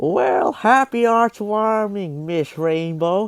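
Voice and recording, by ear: A put-on character voice from a man, high-pitched with a clear, smooth tone, slow and lively in intonation, dry and close with no echo.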